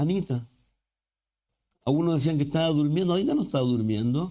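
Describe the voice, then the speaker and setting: With lively intonation, a man speaks in a fairly high pitch with a dark, mellow tone. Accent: Chilean. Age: 60s. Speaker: pastor. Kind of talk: sermon.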